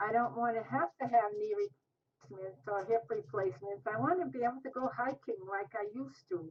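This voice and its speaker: Speaking at a fairly quick pace with hardly any pauses, a woman uses a fairly high pitch in a somewhat breathy voice. Her pitch swings very widely. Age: 60s. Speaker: diet program participant. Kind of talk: interview.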